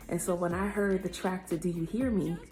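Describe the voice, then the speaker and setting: Over music in the background, a woman speaks quietly at a moderate pace and a medium pitch. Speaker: singer vlogging about her music. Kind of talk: casual vlog story time. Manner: talking quietly.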